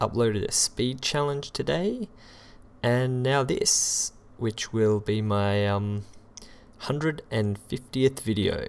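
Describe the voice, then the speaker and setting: Very slow speech broken by long, frequent pauses, with ordinary pitch variation over noticeable background noise. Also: man, medium pitch for a man. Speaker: gaming video creator. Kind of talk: casual talk to camera.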